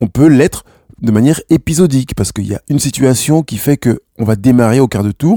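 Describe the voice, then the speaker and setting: The man's voice has a dark, mellow tone and very wide pitch swings. The sound is dry and close with no echo, in a very clean recording with a silent background. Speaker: personal development podcaster. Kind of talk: self-help monologue. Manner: hesitant with fillers.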